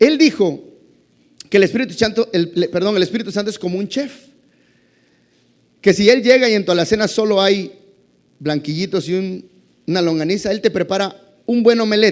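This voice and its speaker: Pausing long and often, a man talks at a high pitch with ordinary pitch variation. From Mexico, Campeche. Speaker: pastor. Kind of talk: sermon. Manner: fast.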